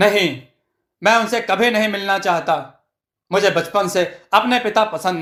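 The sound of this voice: The background stays quiet. Someone reads in an unforced voice.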